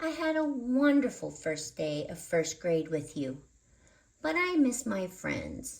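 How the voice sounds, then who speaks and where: A female-sounding voice at a middle pitch uses a put-on character voice. The pace is fairly slow. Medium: read story. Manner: gentle, encouraging.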